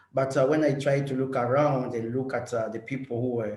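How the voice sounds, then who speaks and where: Over noticeable background noise, a man of medium pitch speaks at a fairly quick pace with monotone, flat intonation. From eastern Congo (Bukavu). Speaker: refugee-led organization director. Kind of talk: webinar introduction. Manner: halting, many fillers.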